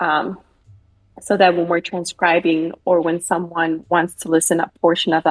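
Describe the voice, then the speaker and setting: A woman with a Spanish accent speaks in a fairly low voice at a moderate pace. The recording is dry and close, with no echo. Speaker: military court reporter. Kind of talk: interview. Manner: many fillers, conversational.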